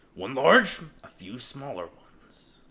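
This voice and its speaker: A man performs a put-on character voice at a medium pitch. His pace is moderate. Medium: actual play. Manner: polite, formal.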